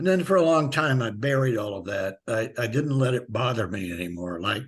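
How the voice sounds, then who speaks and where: A man's medium-pitched voice, fairly quick, with very wide pitch swings. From US Midwest, rural Missouri. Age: 80s+. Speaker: author and animal activist. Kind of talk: interview.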